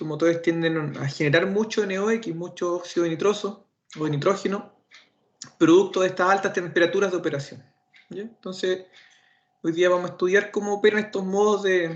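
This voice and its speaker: A man with a Chilean accent, a high pitch, fairly even intonation and a fairly quick pace. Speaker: automotive instructor. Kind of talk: lecture. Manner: fast.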